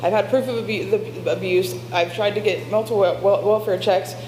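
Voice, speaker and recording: A woman speaks at a moderate pace with a medium pitch and ordinary pitch variation. The recording has audible room echo and noticeable background noise. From Covington, Kentucky. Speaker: public commenter at city meeting. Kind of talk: public comment testimony. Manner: halting, repeats and restarts words.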